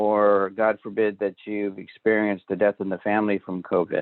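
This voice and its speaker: A man's fairly low-pitched, normal speaking voice at a moderate pace. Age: 60s. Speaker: nurse educator presenting a public health webinar. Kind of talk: webinar presentation.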